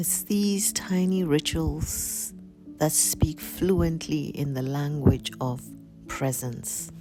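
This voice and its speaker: A soft-spoken woman talks in a calm tone at a very slow pace. Music plays in the background. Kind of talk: poetic voiceover vlog narration. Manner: slow, calm.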